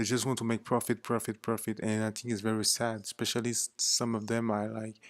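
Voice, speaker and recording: A man with a non-native accent at medium pitch, moderate pace and flat, monotone intonation, in a dry, close recording with no echo, very clean and with a silent background. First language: not English. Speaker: vlogger. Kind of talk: casual monologue. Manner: hesitant, with fillers.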